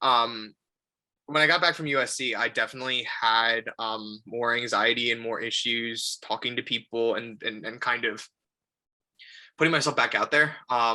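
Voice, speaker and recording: Loud and bright with a sharp tone, a man speaks at medium pitch and a moderate pace with fairly even intonation. The recording is very clean, with a silent background. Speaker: filmmaker. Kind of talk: casual chat.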